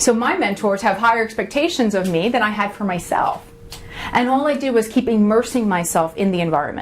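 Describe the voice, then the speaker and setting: Noticeable background noise sits behind a woman with an American accent speaking at a fairly quick pace. Her tone is animated, her pitch fairly high, and her intonation lively. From Long Island, New York. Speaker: workshop speaker. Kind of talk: motivational workshop talk.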